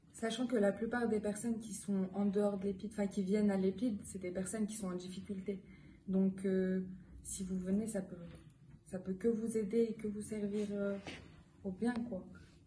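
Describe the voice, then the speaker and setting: Her dark, mellow tone comes out somewhat breathy, and this woman keeps a monotone, flat intonation. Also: medium pitch for a woman, moderate pace. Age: young. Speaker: EPIDE volunteer. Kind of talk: interview answer.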